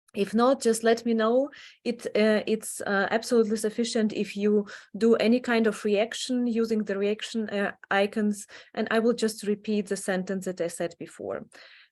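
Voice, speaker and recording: A woman speaks in a Ukrainian accent at a fairly high pitch, her intonation flat and monotone. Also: moderate pace. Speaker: adult education professor and association founder. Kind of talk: online presentation. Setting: online meeting. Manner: halting, many fillers.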